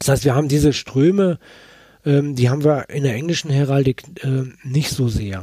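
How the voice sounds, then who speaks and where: Speaking at a moderate pace, a man has a fairly high pitch, a dark, mellow tone, a somewhat breathy quality and ordinary pitch variation. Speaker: author. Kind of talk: interview. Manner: halting.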